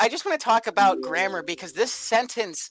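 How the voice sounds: What comes through is a natural reading voice.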